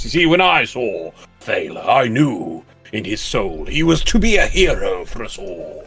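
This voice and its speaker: Faint music plays behind a man booming in a put-on character voice. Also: moderate pace. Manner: honest, grand, booming.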